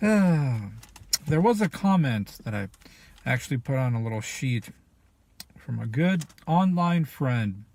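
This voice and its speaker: Somewhat breathy and fairly high-pitched, a man talks at a fairly slow pace with very wide pitch swings and long, frequent pauses. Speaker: video blogger. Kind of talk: personal vlog monologue.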